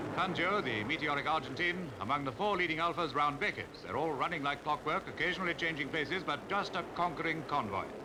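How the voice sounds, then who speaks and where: A man with a fairly high voice talks very fast, barely pausing, at a very even loudness. Background noise is noticeable. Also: ordinary pitch variation. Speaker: newsreel commentator. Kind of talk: 1950s newsreel commentary.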